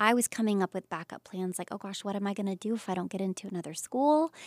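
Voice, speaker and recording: On a very clean recording with a silent background, a woman with an American accent speaks at medium pitch. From US South, Pensacola, Florida. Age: 30s. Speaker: Broadway actor. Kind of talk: casual chat. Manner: animated.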